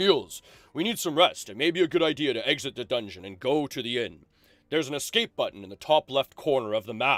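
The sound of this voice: A man puts on a booming, pompous character voice at a medium pitch. He speaks at a very fast pace on a very clean recording with a silent background.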